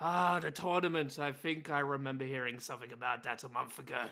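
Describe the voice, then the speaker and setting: A man puts on a raspy character voice at a fairly high pitch. He races along at a very fast pace with ordinary pitch variation. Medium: actual play. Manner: dry, curt.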